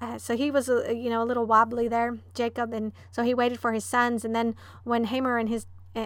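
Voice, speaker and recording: A woman at a fairly high pitch and fairly quick pace, monotone and flat in intonation, on a very clean recording with a silent background. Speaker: Bible study teacher. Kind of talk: Bible study teaching with prayer. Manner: fast talker; prayerful, with frequent filler words.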